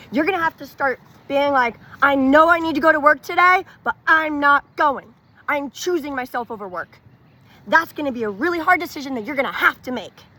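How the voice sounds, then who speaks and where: A woman's high-pitched, raised, projected voice with an American accent, bright and sharp in tone, with lively intonation, a fairly quick pace and big swings in loudness. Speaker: wellness vlogger. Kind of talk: casual personal testimony to camera. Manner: chatty, filler-heavy casual speech.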